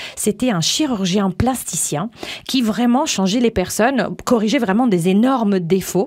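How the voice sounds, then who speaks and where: Over noticeable background noise, a woman speaks at a moderate pace in an Italian accent, her medium pitch showing ordinary variation. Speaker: image coach and radio host. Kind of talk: interview.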